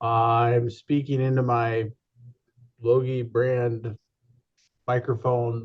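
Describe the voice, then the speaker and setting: A very slow, somewhat breathy man's voice at medium pitch, monotone and flat, with long, frequent pauses. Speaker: committee member. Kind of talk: public meeting. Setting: video call.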